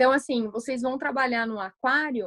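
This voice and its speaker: The voice is a woman's, high in pitch. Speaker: astrologer giving a talk. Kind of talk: online lecture. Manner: hesitant, many fillers.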